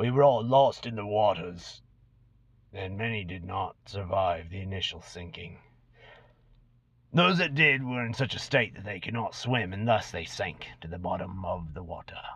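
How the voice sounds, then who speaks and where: A man puts on a character voice with a hissing quality. His pitch sits fairly low and his pace is moderate. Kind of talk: dramatic reading. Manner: sly, boastful storyteller.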